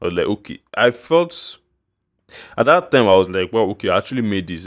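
A man with a Nigerian accent and very wide pitch swings, in a dry, close sound with no echo on a very clean recording with a silent background. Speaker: music producer and podcaster. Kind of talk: casual monologue. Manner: halting.

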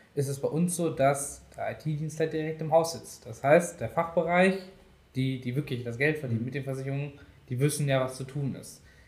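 Speaking at a fairly quick pace, a man with an ordinary speaking voice uses a fairly high pitch and fairly even intonation, with big swings in loudness. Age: 20s. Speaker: IT project manager. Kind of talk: casual interview.

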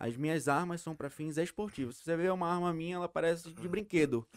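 A man talks at a very fast pace with a high pitch. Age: 20s. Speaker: sport shooter. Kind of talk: casual chat.

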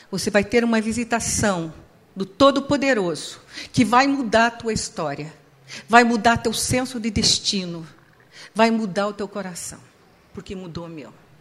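Over noticeable background noise, a fairly high-pitched woman talks at a moderate pace with ordinary pitch variation, big swings in loudness and long, frequent pauses. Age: 60s. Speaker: psychologist. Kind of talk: sermon. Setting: church with audience.

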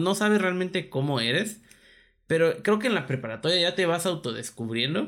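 A man with a Mexican accent at a fairly quick pace, very wide pitch swings, on a very clean recording with a silent background. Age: 20s. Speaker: podcast co-host. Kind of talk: casual chat.

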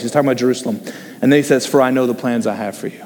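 Noticeable background noise fills the clip. Through it, a male voice talks. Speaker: associate pastor. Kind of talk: sermon with group discussion. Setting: church with online stream. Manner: informal, humorous.

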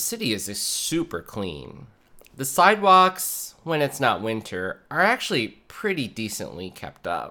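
A man with an American accent speaks at a medium pitch and moderate pace, in a bright, sharp tone with vocal fry and very wide pitch swings. The recording is very clean, with a silent background. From Minnesota, Minneapolis suburbs. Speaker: podcast host. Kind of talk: solo monologue podcast. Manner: halting.

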